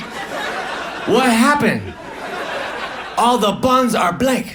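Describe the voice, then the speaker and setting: Over noticeable background noise, a man with an American accent speaks in a raised, projected voice. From United States. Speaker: stand-up comedian. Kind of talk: stand-up comedy set.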